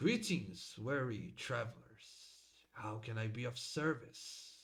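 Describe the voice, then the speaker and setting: A man performs in a put-on character voice at a medium pitch. His pace is fairly slow. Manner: polite, automated.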